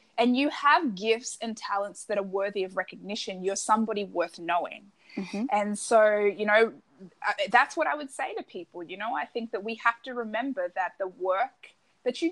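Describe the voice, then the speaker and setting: This woman has a medium pitch and an Australian accent. Her intonation is lively and her pace moderate. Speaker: personal branding coach. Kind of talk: interview.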